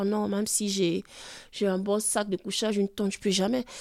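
On a very clean recording with a silent background and a dry, close sound with no echo, a woman speaks at a fairly high pitch with monotone, flat intonation. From Chad. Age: 20s. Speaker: homeless woman. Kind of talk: testimony. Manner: halting.

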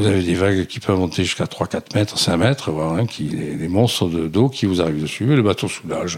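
A man with a very deep, low pitch, ordinary pitch variation, fairly quick pace and hardly any pauses, over noticeable background noise. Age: 70s. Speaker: retired sailor and shipwreck survivor. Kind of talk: interview testimony. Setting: at home. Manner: halting, repeats words.

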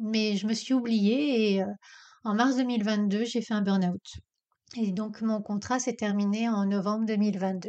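Her voice sits at a fairly high pitch for a woman, with a dark, mellow tone. She speaks at a fairly slow pace against a quiet background. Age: 50s. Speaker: career coach, podcast host. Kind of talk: casual self-interview monologue.

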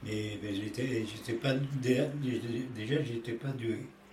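Amid audible room echo and noticeable background noise, a man speaks at a very slow pace with fairly even intonation. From Italy, near Rome. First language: Italian (speaking French). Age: 80s+. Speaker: elderly interviewee. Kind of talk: life story interview. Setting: at home. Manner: halting.

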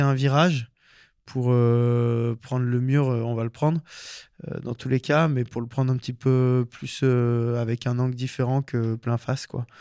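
Recorded dry and close with no echo, a man speaks at medium pitch and a fairly slow pace. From French Alps (Hautes-Alpes, Embrun). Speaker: professional skier and filmmaker. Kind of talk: interview. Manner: hesitant, many fillers.

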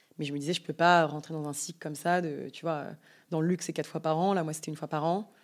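A woman with a very deep, low pitch, very fast, on a very clean recording with a silent background. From France, Yvelines. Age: 20s. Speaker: entrepreneur. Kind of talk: interview conversation. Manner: animated.

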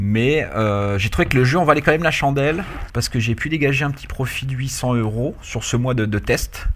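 In a plain, everyday voice, a man of medium pitch talks at a moderate pace with ordinary pitch variation. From Paris, France. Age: 30s. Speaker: fantasy football manager. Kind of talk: casual chat.

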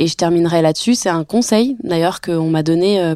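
The recording is very clean with a silent background and a dry, close sound with no echo. A woman speaks at a moderate pace with ordinary pitch variation. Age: 30s. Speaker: actress and luxury cosmetics marketer. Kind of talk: personal testimony. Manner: hesitant with fillers.

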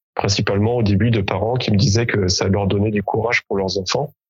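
This man has a plain, everyday voice with a fairly low pitch and fairly even intonation. He talks at a fairly quick pace. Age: 40s. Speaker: amateur athlete with type 1 diabetes. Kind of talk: interview.

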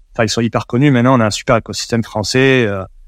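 In a very clean recording with a silent background and a dry, close sound with no echo, a man with a southwest French accent speaks at medium pitch with fairly even intonation. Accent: southwest French accent, noticeable. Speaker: WordPress developer and agency founder. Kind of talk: interview. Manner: hesitant, many repetitions and fillers.

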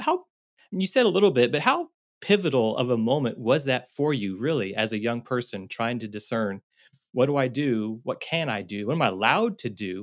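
An unremarkable speaking voice: a man with a medium pitch talks at a fairly quick pace with lively intonation. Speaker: podcast co-host, seminary educator. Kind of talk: podcast interview.

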